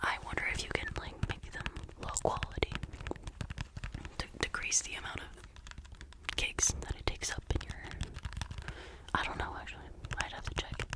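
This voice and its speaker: Whispering in a relaxed tone at a moderate pace, a woman leaves long, frequent pauses, her loudness swinging widely over noticeable background noise. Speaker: ASMR creator. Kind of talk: ASMR rambling to camera. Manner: whispered, soft, relaxed.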